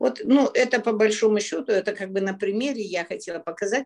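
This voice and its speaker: Intonation rises and falls in a lively way, and the delivery keeps to a moderate speed. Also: woman. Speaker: relationship coach. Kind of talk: live Q&A talk. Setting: video call. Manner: direct, blunt.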